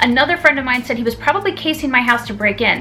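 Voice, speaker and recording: Music plays in the background as a woman speaks very fast at a high pitch with ordinary pitch variation. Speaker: beauty YouTuber. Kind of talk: casual talk to camera. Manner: stuttering.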